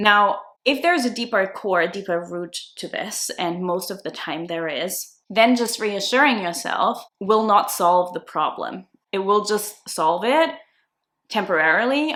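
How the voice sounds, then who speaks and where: Speaking fairly slowly in a non-native accent, a woman has a bright, sharp voice at a medium pitch with lively intonation. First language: not English. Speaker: self-concept coach. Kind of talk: video tutorial.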